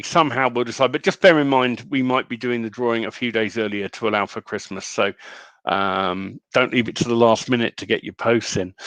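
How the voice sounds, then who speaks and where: Speaking at a fairly quick pace, a man with a British accent has a medium pitch. The background is quiet, and the sound is dry and close with no echo. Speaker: online community host. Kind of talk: casual live stream chat.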